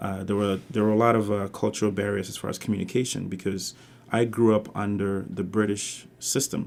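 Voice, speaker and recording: In a monotone, flat intonation, a man speaks at a fairly quick pace with a fairly low pitch. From Ghana, Kumasi, moved to the Bronx at 14. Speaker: university administrator. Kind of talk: interview testimony. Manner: hesitant, many fillers.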